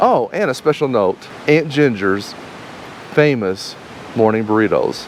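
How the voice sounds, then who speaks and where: A man with a medium-pitched voice talks at a fairly slow pace with long, frequent pauses. Noticeable background noise is present. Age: 50s. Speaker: RV travel vlogger. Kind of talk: casual chat.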